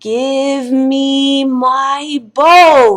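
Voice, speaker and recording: Putting on a character voice, a female-sounding speaker projects loudly at a high pitch. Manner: demanding, louder than before.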